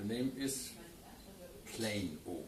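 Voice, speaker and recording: Against noticeable background noise and audible room echo, a man with a German accent talks at a fairly slow pace. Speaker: wine journalist. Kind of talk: interview. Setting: studio. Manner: halting.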